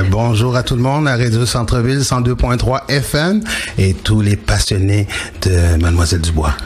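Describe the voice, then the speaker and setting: Amid noticeable background noise, a man with a medium-pitched voice speaks at a moderate pace with lively intonation and very even loudness. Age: 40s. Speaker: speaker, radio host and DJ. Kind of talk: radio interview. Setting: radio studio. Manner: expressive.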